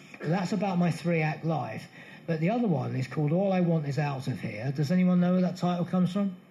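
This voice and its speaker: With audible room echo, a man talks at a very fast pace in a high pitch with ordinary pitch variation. His tone is dark and mellow, and his loudness is very even. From England, Bedfordshire. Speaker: music author. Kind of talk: live interview before an audience.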